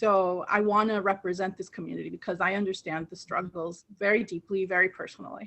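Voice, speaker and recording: With hardly any pauses, a woman speaks at medium pitch in a monotone, flat intonation. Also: fairly quick pace. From moved from Colombia to Queens as a child. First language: Spanish. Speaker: political candidate. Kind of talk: interview.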